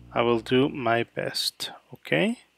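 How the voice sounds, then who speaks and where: A man speaks with a dry, close sound and no echo. Music plays in the background. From Mexico City. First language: Spanish. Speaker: photographer. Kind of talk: live editing session commentary. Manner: halting, many fillers.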